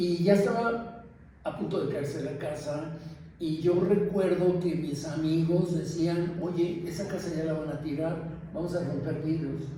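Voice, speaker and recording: There is audible room echo and noticeable background noise as a man speaks in a high voice with fairly even intonation. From Mexico City (Mixcoac, colonia San Juan). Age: 70s. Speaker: longtime resident interviewed for oral history. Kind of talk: oral history testimony. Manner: halting, with many fillers.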